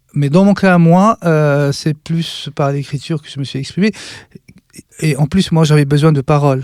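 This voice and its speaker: Recorded with a dry, close sound and no echo, a man speaks at a moderate pace in a fairly high pitch with ordinary pitch variation. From western Algeria, Relizane. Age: 50s. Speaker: artist and writer. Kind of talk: interview. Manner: halting, many hesitations.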